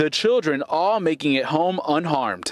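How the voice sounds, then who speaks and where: A man talks at a moderate pace with ordinary pitch variation. The sound is dry and close, with no echo. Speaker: TV news reporter. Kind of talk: TV news live report.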